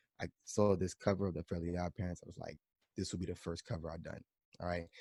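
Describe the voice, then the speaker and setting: A man talks very fast in a New York accent with a dark, mellow tone and a very deep, low pitch. His intonation is monotone and flat, and the sound is dry and close with no echo. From New York, the Bronx. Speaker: drummer. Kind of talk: casual chat.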